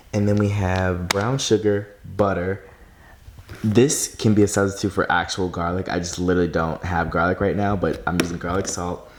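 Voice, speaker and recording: A quiet man's voice, fairly low in pitch, with fairly even intonation. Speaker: vlogger. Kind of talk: casual vlog. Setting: at home at night. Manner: fast.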